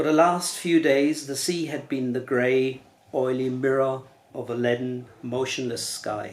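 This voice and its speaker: A man with a German accent talks at a fairly slow pace. His intonation is fairly even. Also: medium pitch for a man. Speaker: novelist. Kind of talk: reading aloud; casual chat. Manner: halting.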